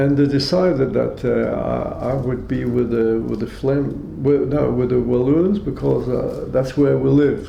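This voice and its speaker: A man talks fairly slowly while noticeable background noise and audible room echo fill the recording. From Austria, then Belgium. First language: German. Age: 80s+. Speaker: Holocaust survivor. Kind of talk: testimony. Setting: at home. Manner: halting.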